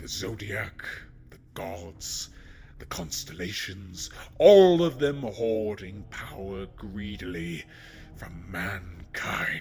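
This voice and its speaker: A man speaks very slowly in a put-on character voice. Clear background noise runs beneath him. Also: fairly low pitch for a man. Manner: mocking, menacing.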